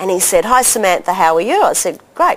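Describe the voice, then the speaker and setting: A woman talks with an Australian accent. She moves at a fairly quick pace. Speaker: doctor and health educator. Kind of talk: interview storytelling. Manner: animated.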